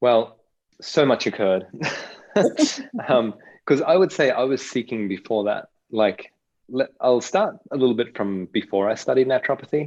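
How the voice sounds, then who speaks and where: Long, frequent pauses break up a man's speech, delivered at a moderate pace with an Australian accent and lively intonation. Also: medium pitch for a man. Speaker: facilitator. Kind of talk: interview. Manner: halting, self-correcting.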